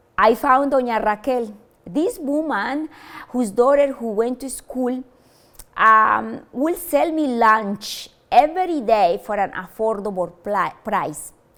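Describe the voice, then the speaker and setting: In a Spanish accent, a woman talks at a very slow pace. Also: big swings in loudness. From Colombia. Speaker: university language lecturer. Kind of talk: motivational talk. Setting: stage with audience. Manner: halting, with fillers.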